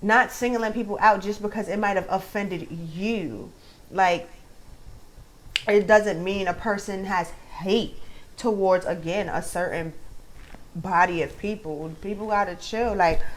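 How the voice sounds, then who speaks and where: Speaking at a fairly slow pace in a New York accent, a woman with a medium-pitched voice keeps her intonation fairly even and leaves long, frequent pauses. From Brooklyn, New York. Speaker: commentary vlogger. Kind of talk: casual vlog commentary.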